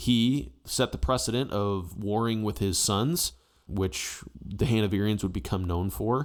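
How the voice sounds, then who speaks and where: In an American accent, a man with an unremarkable speaking voice talks at a fairly low pitch with lively intonation on a very clean recording with a silent background. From United States. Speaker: history YouTuber. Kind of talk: casual opinion commentary.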